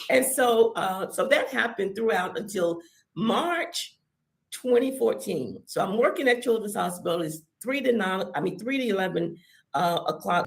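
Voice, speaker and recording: A woman at a medium pitch talks at a moderate pace, her pitch swinging very widely. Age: 60s. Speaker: church member sharing testimony. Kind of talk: testimony.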